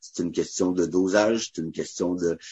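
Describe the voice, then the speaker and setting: Here a man speaks with a Quebec accent. His pace is fairly quick. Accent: Québécois French. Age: 30s. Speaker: barbecue cook and charity founder. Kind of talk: casual interview. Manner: energetic; talkative.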